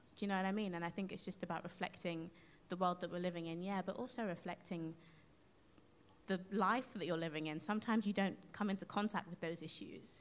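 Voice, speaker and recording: Talking at a very fast pace, a woman speaks in a London accent. Her intonation stays fairly even. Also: medium pitch for a woman. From London, Hackney. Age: 20s. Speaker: soul singer. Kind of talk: casual chat. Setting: live radio broadcast from a concert venue.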